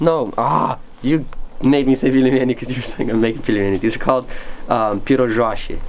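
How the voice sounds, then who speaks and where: Someone talks at a very fast pace with ordinary pitch variation while background noise is noticeable. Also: man, medium pitch for a man. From Moldova. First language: Romanian. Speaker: camper. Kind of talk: casual chat. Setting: outdoors.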